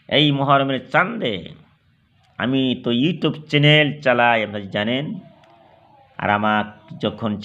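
Audible room echo surrounds a medium-pitched man who speaks with ordinary pitch variation. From Assam, India. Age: 50s. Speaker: Islamic preacher and YouTuber. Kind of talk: religious sermon. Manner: halting.

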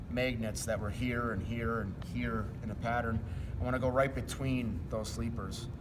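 A man talks at a moderate pace while noticeable background noise is audible behind him. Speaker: flooring contractor. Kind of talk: tutorial. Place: hall.

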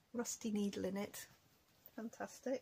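With fairly even intonation and a somewhat breathy voice, a woman talks at a fairly slow pace. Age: 40s. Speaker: craft youtuber; craft vlogger. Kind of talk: casual vlog chat. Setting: home recording. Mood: playful, amused. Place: home room. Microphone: webcam.

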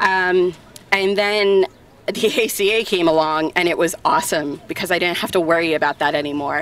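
A woman's fairly low voice with fairly even intonation. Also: dry sound with no echo. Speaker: speaker. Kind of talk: public testimony speech. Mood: earnest, relieved, brief laugh. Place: street. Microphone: handheld.

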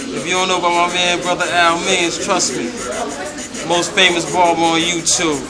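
A man talks at a moderate pace over the sound of a crowd behind him. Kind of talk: casual commentary while working. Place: shop. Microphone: phone near.

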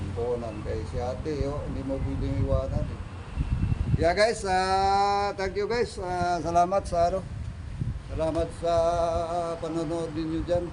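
Audible room echo and noticeable background noise surround a man who talks at a fairly slow pace. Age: 60s. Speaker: vlogger. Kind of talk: casual vlog narration. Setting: outdoors under a bridge.

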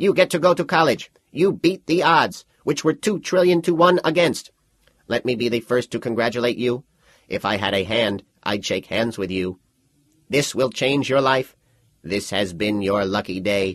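A man's put-on character voice at medium pitch and moderate pace against a quiet background. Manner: smooth, salesy, cheerfully sinister.

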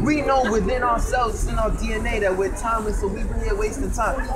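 A man speaks at a very fast pace. Loud background noise fills the recording. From New York City. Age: 20s. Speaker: street debater. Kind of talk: street debate. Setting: outdoors on a city street. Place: street.

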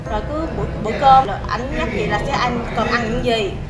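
Clear music plays in the background. Over it, a woman talks at a fairly quick pace. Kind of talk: interview answer. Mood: warm, appreciative. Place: gym. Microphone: lapel.

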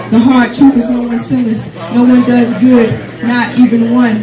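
Crowd noise fills the background as a woman talks at a moderate pace. Her fairly high voice stays monotone and flat. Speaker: spoken word poet. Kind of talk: spoken word poetry performance, rhythmic rhymed verse on faith. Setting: open mic night, live audience. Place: cafe.

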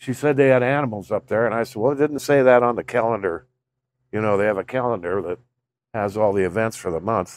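An unremarkable speaking voice belongs to this man, who talks at a fairly quick pace with ordinary pitch variation. The sound is dry with no echo. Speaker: vlogger. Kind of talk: casual vlog chat. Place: garden. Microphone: phone near.

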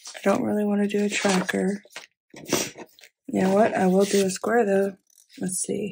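A woman speaks at a moderate pace and medium pitch, her intonation monotone and flat. Her voice has vocal fry and a slightly husky edge.

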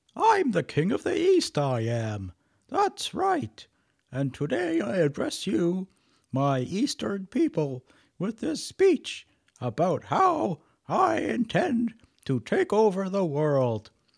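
In a raised, projected put-on character voice, a man talks fairly slowly at a high pitch, with a dry, close sound and no echo.

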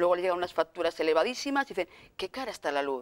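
A woman is speaking. Her pitch swings very widely. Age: 40s. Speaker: consumer association deputy director. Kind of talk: TV interview. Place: studio. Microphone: lapel.

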